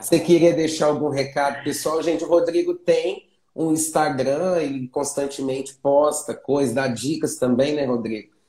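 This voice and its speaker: Speaking at a moderate pace, a man with a dark, mellow tone holds a fairly high pitch and fairly even intonation. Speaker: teacher. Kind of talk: online class. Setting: live stream.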